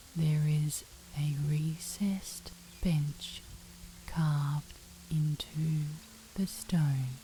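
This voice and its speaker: The speech moves very slowly in a calm, soothing tone, flat and monotone, broken by long, frequent pauses against noticeable background noise. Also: woman, very deep, low pitch for a woman. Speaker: meditation guide. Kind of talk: sleep story.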